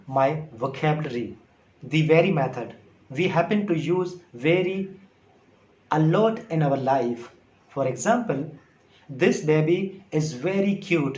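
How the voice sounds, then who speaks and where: A man with a Sindhi accent speaks very slowly at a high pitch, his intonation lively. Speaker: English teacher on video. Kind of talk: casual tutorial talk to camera.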